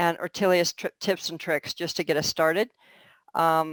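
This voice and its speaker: A woman with an American accent, fairly low-pitched, at a moderate pace and in a monotone, flat delivery, the sound dry and close with no echo on a very clean recording with a silent background. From California. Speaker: open source project lead. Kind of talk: project meeting. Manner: halting, many fillers.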